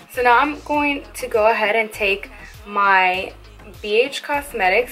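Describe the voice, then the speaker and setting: A woman talks at a fairly slow pace with ordinary pitch variation while music plays in the background. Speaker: makeup tutorial creator. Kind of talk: makeup tutorial voiceover.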